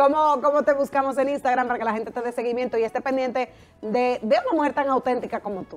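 At a very fast pace, a woman speaks in a high pitch with fairly even intonation. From Dominican Republic. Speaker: TV show host. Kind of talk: TV interview. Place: studio. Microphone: lapel.

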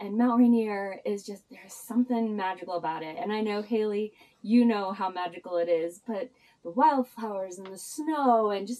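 The speaker is a woman. Her pitch shows ordinary variation. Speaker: travel vlogger. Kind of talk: casual vlog chat. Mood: cheerful, laughing. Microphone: camera far.

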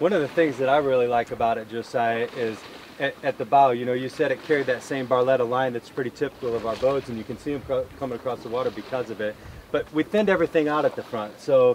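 Over light background noise, a man talks at a very fast pace with ordinary pitch variation and a dry sound with no echo. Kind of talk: product walkthrough conversation. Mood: enthusiastic, admiring. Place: waterside.

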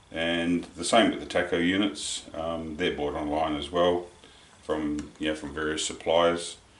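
There is audible room echo around a man speaking with a very deep, low pitch. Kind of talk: tutorial. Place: workshop.

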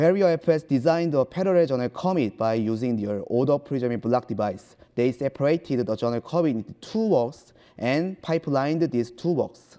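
With a Korean accent, a man talks at a moderate pace with hardly any pauses, his fairly high voice dark and mellow in tone, his intonation lively, against a quiet background. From South Korea. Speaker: computer science researcher; presenter. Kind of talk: conference talk. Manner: halting. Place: hall.

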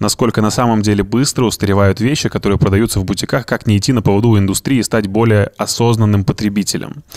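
A man's fairly low voice at a fairly quick pace over a quiet background. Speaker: podcast host. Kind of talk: casual chat. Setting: studio. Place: studio. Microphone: studio mic.

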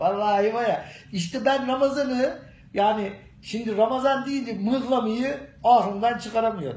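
A man with ordinary pitch variation, heard with audible room echo. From Gerede, Bolu, Turkey. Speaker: local man answering a question. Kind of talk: street interview answer. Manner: humorous, casual. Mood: joking, animated. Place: office. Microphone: phone near.

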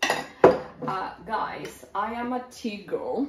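A woman's voice comes through with noticeable background noise. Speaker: home vlogger. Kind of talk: casual product show-and-tell. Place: kitchen.

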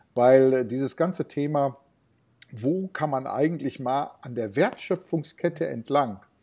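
A man speaks at a medium pitch with a dark, mellow tone. His pace is fairly slow and his pitch varies in an ordinary way. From Ruhr area, Germany (Bottrop); Ruhr area, Germany. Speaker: retail innovation consultant; interview guest. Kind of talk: interview. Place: home room. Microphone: earbuds.

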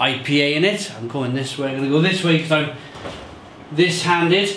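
With light background noise and audible room echo, a man is speaking. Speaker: beer reviewer. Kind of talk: casual vlog chat. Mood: cheerful, upbeat. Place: home room.

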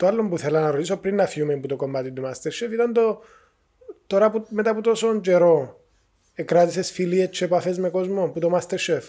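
Against a quiet background, a man with a Cypriot accent speaks at a fairly quick pace. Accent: Cypriot Greek. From Cyprus. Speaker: podcast host. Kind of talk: casual interview. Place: studio. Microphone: studio mic.

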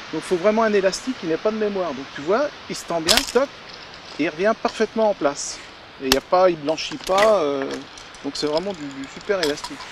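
A man's high voice with big swings in loudness and long, frequent pauses, the sound dry with no echo, over noticeable background noise. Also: lively intonation, fairly quick pace. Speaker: angler demonstrating fishing gear. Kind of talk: product demonstration. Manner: calm explanatory. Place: waterside.

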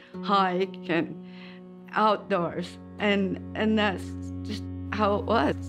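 A woman speaks very slowly while music plays clearly behind her. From Utah, USA. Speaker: hunter. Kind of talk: interview answer. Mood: warm, reminiscing. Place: home room.

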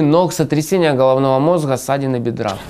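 Against a quiet background, a man speaks at a fairly high pitch in a dark, mellow tone. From Donbas, eastern Ukraine. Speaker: journalist, video blogger. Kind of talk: scripted narration. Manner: formal. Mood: serious, concerned. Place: studio. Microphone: lapel.

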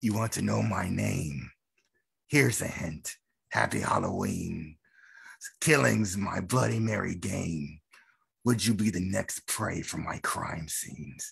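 A man's put-on character voice, very deep and low in pitch, broken by long, frequent pauses. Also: fairly slow pace. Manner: menacing, crazy, scary.

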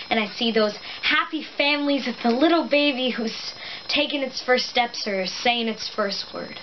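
Ordinary pitch variation over light background noise. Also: woman. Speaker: actor performing a monologue. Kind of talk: dramatic monologue performance. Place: home room. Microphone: camera far.

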